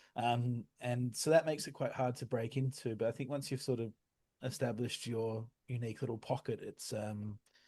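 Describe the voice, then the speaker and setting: Over a quiet background, a man with an Australian accent speaks at a fairly quick pace in a medium pitch with fairly even intonation. His somewhat breathy voice has a dark, mellow tone and a dry, close sound with no echo. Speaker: music tech entrepreneur. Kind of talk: interview. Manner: hesitant, many fillers.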